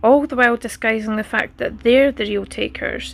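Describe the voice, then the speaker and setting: A woman talks at a moderate pace, recorded very cleanly with a silent background. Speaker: spoken word poet. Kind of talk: spoken word poetry performance.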